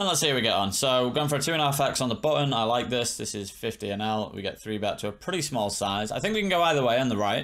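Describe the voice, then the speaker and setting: Against a quiet background, the speaker goes at a very fast pace with lively intonation and hardly any pauses. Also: man. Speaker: poker coach streamer. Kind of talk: commentary. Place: home room.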